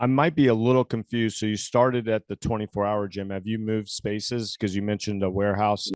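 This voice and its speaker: In an American accent, a man talks at a very fast pace with hardly any pauses, a fairly low pitch and fairly even intonation, the sound dry and close with no echo and a quiet background. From Florida. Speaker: podcast host. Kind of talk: interview.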